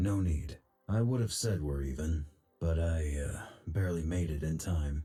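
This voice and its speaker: Putting on a character voice, a man speaks deadpan at a moderate pace in a very deep, low register. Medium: video game. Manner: terse, deadpan.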